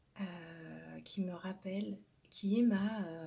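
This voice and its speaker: His tone dark and mellow, a man speaks at a high pitch with fairly even intonation. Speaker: tarot card reader. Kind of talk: spiritual card-reading guidance. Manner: many hesitations and fillers.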